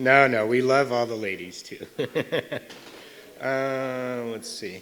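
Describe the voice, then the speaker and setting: A man with an American accent at a medium pitch, speaking at a very slow pace, his intonation fairly even, with audible room echo and noticeable background noise. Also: big swings in loudness. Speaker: paediatric cardiologist. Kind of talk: lecture. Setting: stage with audience. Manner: loud; informal.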